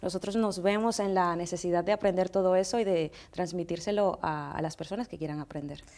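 A woman's dark, mellow voice at medium pitch, with ordinary pitch variation and a moderate pace. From Dominican Republic. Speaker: makeup artist; guest. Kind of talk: interview. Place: studio.

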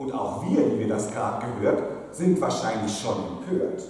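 A man speaks in a sing-song, playful tone at a very slow pace. Strong room echo fills the recording. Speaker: pastor. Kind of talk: carnival sermon in rhymed couplets (Büttenrede style). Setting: church pulpit. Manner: playful, rhythmic sing-song rhyming delivery with comic timing; jovial, teasing, lively. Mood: humorous, playful. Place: church.

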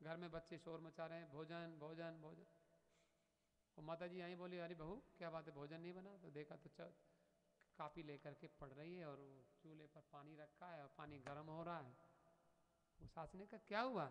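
With a normal speaking voice, a man talks at a moderate pace and fairly high pitch with fairly even intonation. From northern India. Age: 50s. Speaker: spiritual teacher. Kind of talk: sermon. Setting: temple. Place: hall. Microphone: studio mic.

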